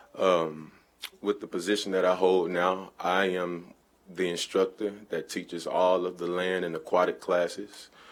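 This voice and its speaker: In a Southern US accent, a man speaks at a very deep, low pitch and a fairly slow pace with monotone, flat intonation. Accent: US South. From Little Rock, Arkansas. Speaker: fitness instructor. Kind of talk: public comment at city council meeting. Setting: city council chamber. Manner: unscripted, informal.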